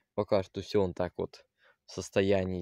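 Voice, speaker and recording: Against a quiet background, a man talks very slowly in a fairly low, dark, mellow voice, with a dry sound and no echo. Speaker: video blogger; vlogger showing his plot. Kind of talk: casual vlog walkthrough. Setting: outdoors. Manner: halting, many fillers. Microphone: phone near.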